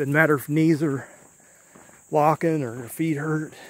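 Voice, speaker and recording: The pace is very slow. The sound is dry, with no echo. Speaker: urban explorer vlogger. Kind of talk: casual vlog chat. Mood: reflective, slightly uneasy. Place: open country. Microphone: phone near.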